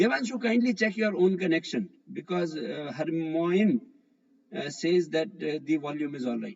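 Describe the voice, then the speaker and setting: Lively in intonation, a man with an Indian accent speaks in a high pitch. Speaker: physics teacher. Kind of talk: online live class. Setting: online live class.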